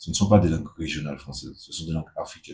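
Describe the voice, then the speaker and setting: A man speaks in a dark, mellow tone with a Martinican accent. His voice is somewhat breathy. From Martinique. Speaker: activist spokesperson. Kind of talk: casual video monologue.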